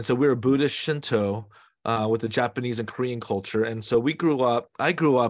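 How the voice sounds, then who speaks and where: This is an ordinary speaking voice with an American accent, moving at a fairly quick pace. The intonation is fairly even, over a quiet background. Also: man. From US West Coast, San Francisco Bay Area. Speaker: pastor. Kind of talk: interview.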